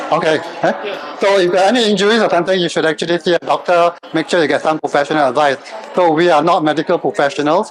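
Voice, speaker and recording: With a Singaporean accent, a man talks very fast in a high pitch, his loudness very even and his pitch varying normally, over noticeable background noise. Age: 60s. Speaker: fitness trainer. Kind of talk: workshop presentation.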